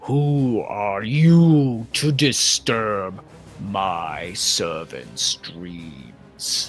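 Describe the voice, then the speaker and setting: Over clear music in the background, a rumbling, put-on character voice moves very slowly with very wide pitch swings. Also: man, fairly low pitch for a man. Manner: menacing, thunderous.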